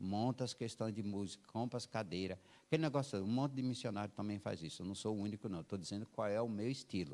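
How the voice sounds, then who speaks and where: In a very clean recording with a silent background, a man talks at a very fast pace with hardly any pauses. His fairly low voice has a dark, mellow tone and ordinary pitch variation. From Brazil, Alagoas (rural Northeast). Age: 60s. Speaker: missionary church planter, guest preacher. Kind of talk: sermon with personal testimony. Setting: church service.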